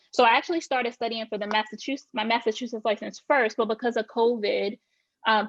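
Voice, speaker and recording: Speaking at a very fast pace, a woman with a Southern accent uses a fairly high pitch and fairly even intonation. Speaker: real estate agent. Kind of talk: podcast interview.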